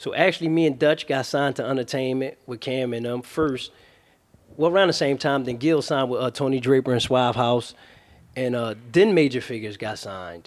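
With ordinary pitch variation, a man talks at a fairly quick pace and a medium pitch. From Philadelphia, North Philly. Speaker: rapper. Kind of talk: interview. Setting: studio.

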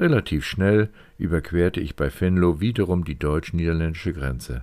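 On a very clean recording with a silent background, a man speaks fairly slowly with ordinary pitch variation. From northwestern Germany, County of Bentheim. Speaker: podcast host and author. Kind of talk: scripted narration.

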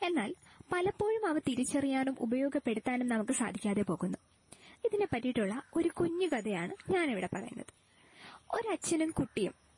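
A woman with high pitch and very wide pitch swings, very even loudness, a dry, close sound with no echo, and noticeable background noise. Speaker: student. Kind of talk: storytelling.

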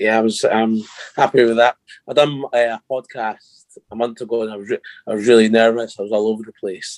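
With a Scottish accent, a man speaks at medium pitch in a monotone, flat intonation, his loudness swinging widely. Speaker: adoptee sharing experience. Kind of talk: casual interview chat. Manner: tongue-tied, halting.

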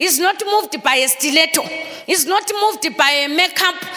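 The speaker sounds animated over noticeable background noise. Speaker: pastor. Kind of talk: sermon, preacher in full flow, rousing call-and-response. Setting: church. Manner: animated, exhortative, crowd-engaging; switches between English and Shona.

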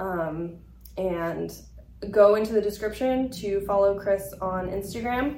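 Speaking at a fairly slow pace with medium pitch and ordinary pitch variation, a woman comes through noticeable background noise. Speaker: podcast host. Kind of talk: interview conversation. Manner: warm, earnest.

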